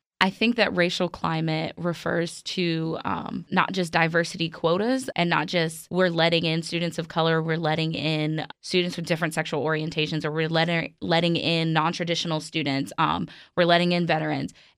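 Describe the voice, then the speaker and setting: Recorded very cleanly against a silent background, a woman with an American accent has an ordinary speaking voice with a fairly low pitch. Her intonation stays fairly even at a moderate pace, with hardly any pauses. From New York City, Brooklyn. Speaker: college student and student newspaper editor. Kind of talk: casual chat.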